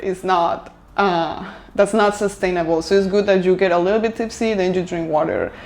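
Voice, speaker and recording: A woman with a Spanish accent and fairly even intonation, against noticeable background noise. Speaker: lifestyle vlogger. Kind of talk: casual vlog talk to camera. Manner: hesitant, filler-heavy.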